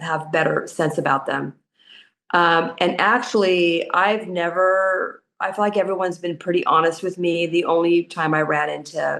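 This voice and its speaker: At a moderate pace, a woman with a Californian accent speaks at a fairly low pitch in a monotone, flat intonation. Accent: Californian American English. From US West Coast, southern California. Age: 60s. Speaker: expat retiree. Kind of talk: interview conversation. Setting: podcast recording.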